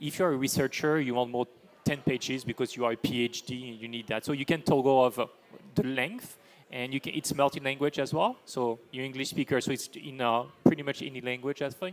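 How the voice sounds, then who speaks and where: At a fairly quick pace, a man speaks with a French accent. His intonation stays fairly even. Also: medium pitch for a man. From France. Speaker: AI for sustainability business leader. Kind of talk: panel discussion.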